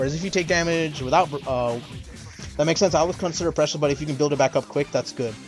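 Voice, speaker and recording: A man with a non-native accent talks very fast with ordinary pitch variation. Music plays in the background. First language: not English. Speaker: fighting game streamer. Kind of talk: casual livestream lecture. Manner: halting, many fillers.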